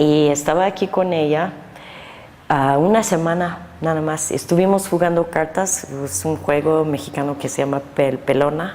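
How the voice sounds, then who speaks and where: Against noticeable background noise, a woman with an American accent speaks at a fairly slow pace with a very deep, low pitch and ordinary pitch variation. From US Northeast (New Jersey). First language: English (speaking Spanish). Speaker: painter. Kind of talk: interview. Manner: halting.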